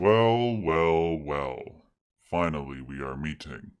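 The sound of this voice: A man puts on a character voice, very deep and low, speaking fairly slowly with lively intonation.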